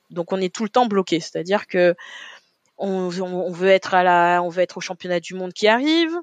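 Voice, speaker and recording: The speaker has an unremarkable speaking voice with fairly even intonation at a moderate pace. The background is quiet, and the sound is dry and close with no echo. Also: woman, medium pitch for a woman. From Paris, 18th arrondissement. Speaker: olympic athlete and deputy mayor. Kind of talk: interview conversation.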